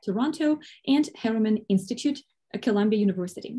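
Against quiet surroundings, the tone comes across dark and mellow. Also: woman. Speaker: event host or moderator. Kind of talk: introduction of a lecture speaker. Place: home room. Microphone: video call.

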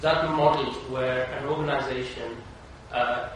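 A man's flat, monotone voice at a fairly slow pace, with noticeable background noise and strong room echo. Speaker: panelist at a conference. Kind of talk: panel discussion answer. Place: hall.

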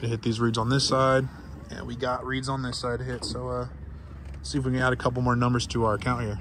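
Over light background noise, a man speaks very fast with ordinary pitch variation, the sound dry with no echo. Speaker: fishing vlogger. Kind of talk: casual vlog chat. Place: boat. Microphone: phone near.

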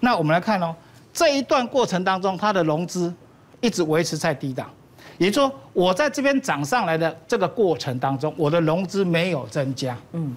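A man speaks at high pitch with very wide pitch swings. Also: moderate pace. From Taiwan. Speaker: stock analyst. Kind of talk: market analysis on a talk show. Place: studio. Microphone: lapel.

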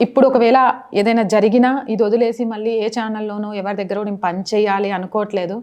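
A woman's fairly high voice with a dark, mellow tone and monotone, flat intonation. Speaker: journalist and YouTube channel owner. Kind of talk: personal video update.

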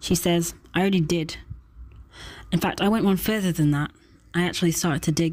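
A woman with a fairly low pitch and a somewhat breathy voice talks at a fairly quick pace, with long, frequent pauses. Her intonation is fairly even, her loudness very even, and the recording very clean with a silent background. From Doncaster, England. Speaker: poet. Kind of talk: slam poetry reading.

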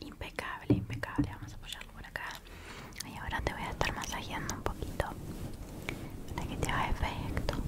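Over loud background noise, a woman talks at a fairly quick pace but leaves long, frequent pauses. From Uruguay. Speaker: ASMR creator. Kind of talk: ASMR roleplay. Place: home room. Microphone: studio mic.

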